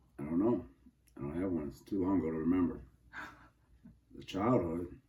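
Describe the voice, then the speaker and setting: A man speaks at a very deep, low pitch with ordinary variation, a dark, mellow tone and vocal fry. His loudness swings a lot, and the room echo is audible. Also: fairly quick pace. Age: 70s. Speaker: interviewee, father of interviewer. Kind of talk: casual family interview.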